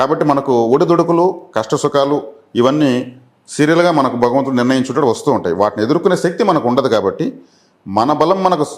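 A man with an unremarkable speaking voice talks at a fairly high pitch. His pitch varies in an ordinary way, and his loudness stays very even. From Andhra Pradesh, Chittoor district. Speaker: astrologer. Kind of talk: interview.

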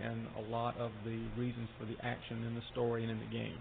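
A man speaks at a moderate pace with a medium pitch over noticeable background noise. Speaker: game studio executive. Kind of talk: interview.

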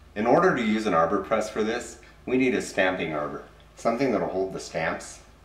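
A man talks at a medium tempo, and the room's echo can be heard. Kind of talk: tutorial. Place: workshop.

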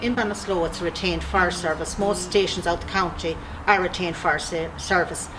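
Against noticeable background noise, a woman with a fairly low pitch speaks at a fairly quick pace in a monotone, flat delivery. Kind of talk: interview answer, recruitment appeal. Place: garage.

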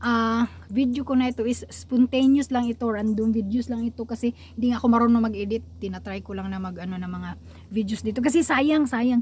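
A woman speaks at a fairly quick pace in a high voice, with ordinary pitch variation. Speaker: vlogger. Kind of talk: casual vlog monologue. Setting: outdoors by a lake.

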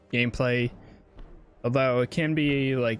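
The man keeps a moderate pace while faint music drifts in the background. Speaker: game streamer. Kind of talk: casual gaming commentary.

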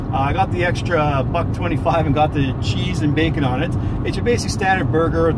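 Someone talks at a fairly quick pace in a dry sound with no echo, with loud background noise. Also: man. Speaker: food reviewer. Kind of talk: casual vlog chat. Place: car. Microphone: phone near.

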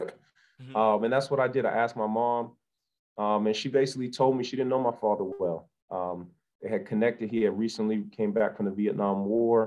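Against a quiet background, a man with fairly low pitch speaks at a fairly quick pace with fairly even intonation. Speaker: guest. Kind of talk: interview answer. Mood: earnest, reflective. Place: home room. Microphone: video call.

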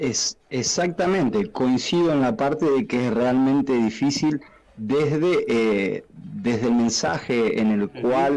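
Dark and mellow in tone, the voice moves at a very slow pace with lively intonation. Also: man. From Argentina. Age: 30s. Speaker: professional footballer; interview guest. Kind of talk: interview. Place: studio. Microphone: studio mic.

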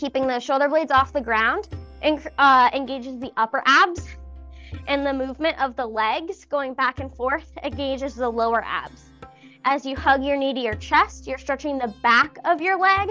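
Faint music plays in the background as a woman talks at a moderate pace in a raised, projected voice with ordinary pitch variation. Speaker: fitness instructor. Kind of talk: exercise class instruction. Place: empty room.

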